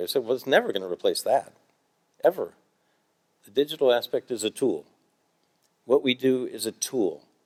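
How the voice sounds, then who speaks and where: In a Midwestern accent, the speaker moves at a fairly quick pace, the sound dry and close with no echo. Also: man. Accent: American, Midwestern. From US Midwest, Cincinnati Ohio. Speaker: themed entertainment designer, award recipient. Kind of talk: award acceptance talk with audience Q&A. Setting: stage with audience.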